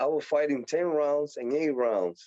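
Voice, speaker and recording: A man speaks in a fairly high pitch with a Puerto Rican accent, at a fairly slow pace. The sound is dry and close, with no echo. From Puerto Rico. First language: Spanish. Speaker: professional boxer. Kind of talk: interview.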